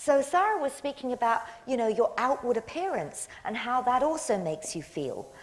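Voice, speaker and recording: A woman with an English accent speaks in a high pitch over noticeable background noise. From England. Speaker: motivational speaker. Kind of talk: public talk.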